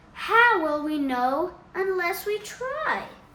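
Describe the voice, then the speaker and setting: In a squeaky, put-on character voice with extremely high pitch, a woman speaks at a very slow pace. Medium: read story.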